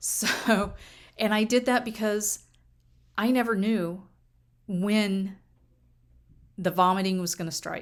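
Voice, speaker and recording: A woman speaks at a medium pitch with fairly even intonation and a fairly slow pace. The recording is very clean, with a silent background. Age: 50s. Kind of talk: casual personal talk to camera.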